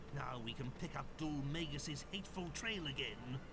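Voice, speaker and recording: Loud background noise runs under a put-on character voice speaking at a moderate pace. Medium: game stream. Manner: pompous, exclamatory.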